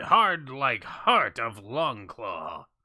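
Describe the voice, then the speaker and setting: A man puts on a character voice pitched high. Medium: actual play. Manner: clipped broken speech.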